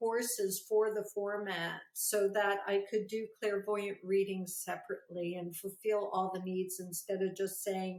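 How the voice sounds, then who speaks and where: This woman speaks at a moderate pace and medium pitch. It is a normal speaking voice. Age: 60s. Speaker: psychic and naturopath. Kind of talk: interview.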